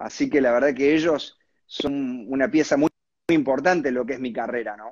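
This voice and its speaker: At a moderate pace, a man talks in a plain, everyday voice with medium pitch and ordinary pitch variation. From Argentina, Córdoba (Villa María). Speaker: singer-songwriter and harmonica player. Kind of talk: interview. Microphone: unstable connection.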